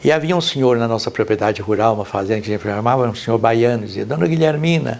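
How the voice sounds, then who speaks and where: The man's medium-pitched voice races at a very fast pace, its pitch varying in an ordinary way. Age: 90s. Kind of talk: documentary interview.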